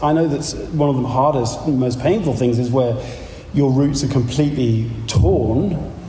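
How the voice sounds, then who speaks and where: At a fairly slow pace, someone speaks in a London accent amid noticeable background noise and audible room echo. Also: man. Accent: southern English (London). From London, England. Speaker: pastor and teacher. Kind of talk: lecture.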